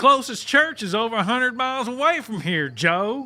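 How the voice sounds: A man does a put-on character voice at an extremely high pitch, with a bright, sharp tone. His pitch swings widely at a moderate pace.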